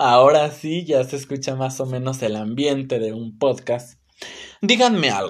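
On a very clean recording with a silent background, a man with a Mexican accent speaks at a fairly slow pace, his fairly high pitch showing ordinary variation. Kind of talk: religious talk, solo podcast. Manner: casual, filler-heavy.

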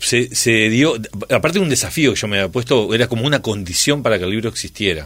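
A man's medium-pitched voice at a very fast pace. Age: 50s. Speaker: writer and TV presenter. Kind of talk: interview. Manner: halting, many repetitions.

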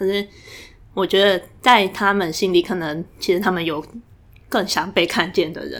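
At a moderate pace, a woman with medium pitch and fairly even intonation speaks with long, frequent pauses. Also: very clean recording, silent background. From Taiwan, Tainan. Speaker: graduate student. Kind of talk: casual interview chat.

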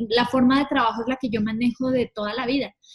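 A woman speaks at a fairly quick pace. Her voice sits high in pitch, with ordinary pitch variation. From Colombia, Villavicencio. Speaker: tour manager. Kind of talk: casual interview chat.

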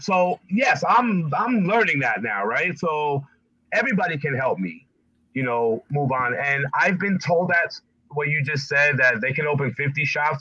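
Speaking at a fairly slow pace, a man with a plain, everyday voice uses lively intonation at a fairly high pitch. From New Jersey. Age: 50s. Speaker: barber and barbershop owner. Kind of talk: casual interview.

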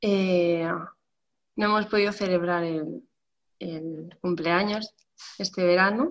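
Pausing long and often, a woman talks at a very slow pace in a medium pitch with ordinary variation. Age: 30s. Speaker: bookseller. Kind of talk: panel discussion. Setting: video call.

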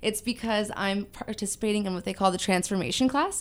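Her voice has a medium pitch and fairly even intonation as this woman speaks with a Californian accent. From Southern California, Ventura. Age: 20s. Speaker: weight loss influencer and amateur bodybuilder. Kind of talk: casual interview.

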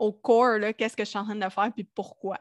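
A woman speaks in a Quebec accent at a moderate pace. Her intonation is flat and monotone over a quiet background. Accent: Quebecois French. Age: 30s. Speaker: audio designer. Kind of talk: casual interview. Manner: speaks without filter.

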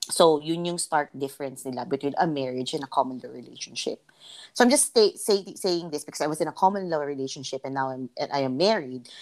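A woman talks with a very deep, low pitch. Her loudness swings widely. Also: ordinary pitch variation, fairly quick pace. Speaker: podcast co-host. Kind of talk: casual chat.

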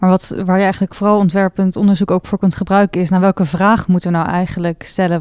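A woman talks very fast at a medium pitch in a flat monotone, her dark, mellow tone captured dry and close with no echo on a very clean recording over a silent background. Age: 20s. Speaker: university researcher. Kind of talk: interview.

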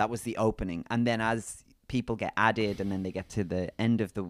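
Recorded very cleanly against a silent background, a man speaks with a British accent. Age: 30s. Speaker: podcast co-host. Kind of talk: casual chat. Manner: animated.

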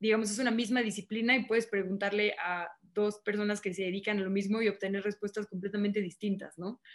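A woman with an unremarkable speaking voice, medium in pitch, with fairly even intonation and a fairly quick pace. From northern Mexico, Monterrey. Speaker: journalist and TV news presenter. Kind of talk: casual interview.

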